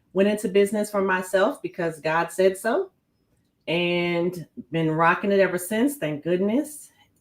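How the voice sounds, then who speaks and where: Woman with an American accent, medium pitch, ordinary pitch variation and a fairly slow pace. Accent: New York, comes in and out. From New York. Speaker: business owner and non-profit founder. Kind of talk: podcast interview. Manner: animated.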